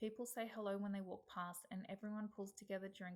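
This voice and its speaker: Somewhat breathy, a woman with an Australian accent speaks in a monotone, flat intonation. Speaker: healthcare student. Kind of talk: reading aloud. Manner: formal.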